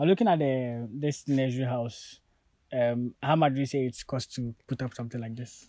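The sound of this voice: Here a man talks at a moderate pace with a dark, mellow tone. His pitch sits in the medium range. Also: ordinary pitch variation.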